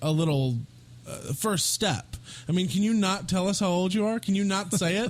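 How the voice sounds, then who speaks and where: High in pitch, a man's voice shows ordinary pitch variation. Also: moderate pace. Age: 30s. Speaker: podcast host. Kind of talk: heated interview. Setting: studio. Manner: insistent, interrupting.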